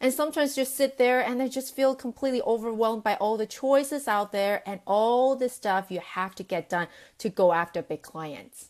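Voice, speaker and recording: In a non-native accent, a woman speaks at a moderate pace in a fairly high voice with lively intonation, on a very clean recording with a silent background. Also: hardly any pauses. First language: not English. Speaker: sales coach and business founder. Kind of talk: live video talk to camera. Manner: casual with many fillers.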